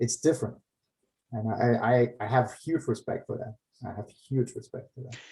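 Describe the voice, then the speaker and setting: With a German accent, a man speaks at a moderate pace and medium pitch in a dark, mellow, somewhat breathy tone, his intonation fairly even but his loudness swinging widely. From Germany, later Finland; Yugoslav parents. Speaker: comic artist and finance professional. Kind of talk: casual chat. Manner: halting.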